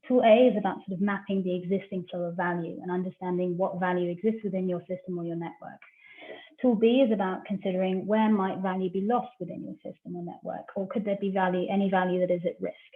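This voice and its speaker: Over noticeable background noise, a woman talks at a very fast pace with a medium pitch, fairly even intonation and big swings in loudness. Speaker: researcher presenting a business tool. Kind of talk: online masterclass presentation.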